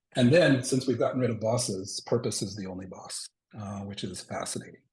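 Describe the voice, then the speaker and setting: A man speaks in a somewhat breathy voice. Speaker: organizational consultant presenter. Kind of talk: presentation with slides. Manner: many filler words.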